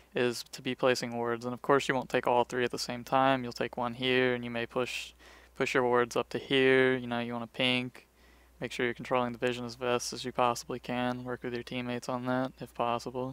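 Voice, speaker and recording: On a very clean recording with a silent background and a dry, close sound with no echo, a man speaks fairly quickly in a monotone with flat intonation. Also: medium pitch for a man. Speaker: gaming tutorial creator. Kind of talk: tutorial.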